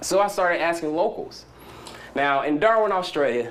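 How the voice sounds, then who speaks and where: A man with a Southern US accent talks in an animated tone, high-pitched and with lively intonation, while room echo can be heard. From US South. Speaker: startup founder. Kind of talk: conference talk. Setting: stage with audience. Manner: fast.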